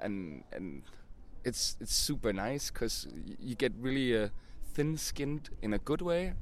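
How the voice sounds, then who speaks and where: A man with a Danish accent at a fairly slow pace, with long, frequent pauses. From Denmark. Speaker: band singer. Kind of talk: casual interview. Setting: outdoors.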